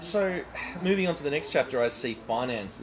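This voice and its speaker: The speech moves at a fairly quick pace with very wide pitch swings. Noticeable background noise is present. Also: man. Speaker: interviewer and channel host. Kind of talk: interview questions.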